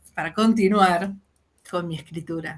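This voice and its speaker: A woman's somewhat breathy voice at medium pitch, in a Rioplatense accent, with ordinary pitch variation and a moderate pace. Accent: Argentine Spanish (rioplatense). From Argentina. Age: 50s. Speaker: fantasy fiction writer. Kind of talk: interview.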